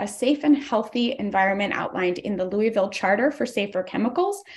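Somewhat breathy, a woman speaks at a very fast pace. Her pitch is fairly high with ordinary variation. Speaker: environmental justice organizer; public commenter for advocacy group. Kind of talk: public hearing testimony. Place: home room. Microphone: video call.

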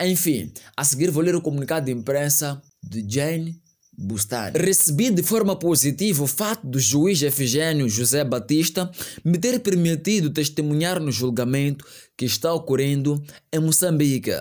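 Fairly high in pitch, a man speaks in an animated tone with lively intonation at a moderate pace. His loudness stays very even against a quiet background. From Mozambique. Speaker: news commentary youtuber. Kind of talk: online news commentary. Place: home room. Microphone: studio mic.

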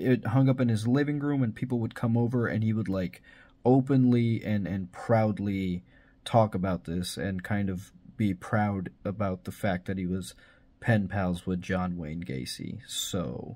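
A man's fairly low voice, dark and mellow in tone, at a fairly slow pace. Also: ordinary pitch variation. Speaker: video host. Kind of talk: commentary.

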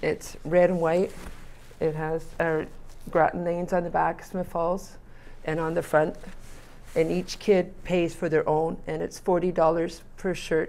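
A woman talks at a fairly slow pace in a fairly low pitch. Her intonation is monotone and flat. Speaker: local youth bowling coach. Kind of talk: interview answer. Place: studio. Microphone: lapel.

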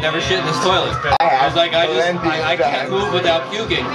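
Loud music fills the background as a man talks at a fairly quick pace. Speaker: storyteller. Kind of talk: casual vlog chat. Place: home room. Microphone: phone near.

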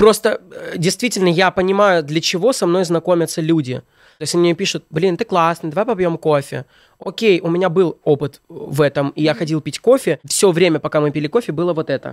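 Over a quiet background, a man with a high voice talks at a fairly quick pace with ordinary pitch variation, the sound dry with no echo. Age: 20s. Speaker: blogger and comedic video maker; blogger. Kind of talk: casual chat. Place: studio. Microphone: studio mic.

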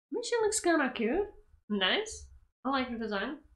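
Her voice is high-pitched with a fairly bright tone and big pitch swings as the woman speaks at a moderate pace amid audible room echo.

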